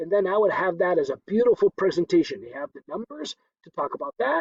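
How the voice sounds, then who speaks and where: Very fast speech comes from a man. There's no echo at all, just a dry, close sound. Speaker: instructor. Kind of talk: tutorial.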